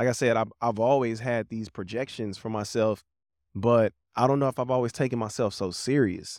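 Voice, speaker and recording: A man speaks in an ordinary speaking voice, medium in pitch, with fairly even intonation at a moderate pace. The recording is very clean with a silent background, and the sound is dry and close with no echo. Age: 30s. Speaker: podcast host and musician. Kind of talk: casual chat. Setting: outdoors in a park.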